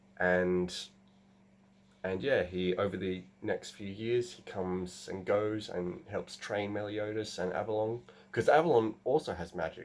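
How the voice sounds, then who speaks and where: Mumbling at a fairly slow pace, a man speaks with a fairly low pitch and ordinary pitch variation. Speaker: gaming and writing channel host. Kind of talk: casual vlog describing a novel plot. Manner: halting, many fillers.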